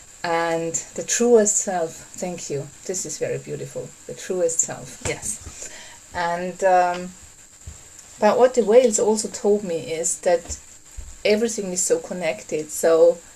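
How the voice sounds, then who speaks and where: The speech goes by fairly slowly, with noticeable background noise throughout. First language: not English. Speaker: workshop facilitator. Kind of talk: online workshop talk. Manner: halting.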